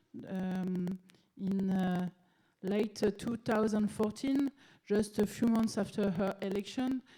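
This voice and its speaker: Here a woman speaks with a French accent. Her pitch is fairly high and her pace fairly slow. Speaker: city politician. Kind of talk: conference presentation. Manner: halting, many fillers.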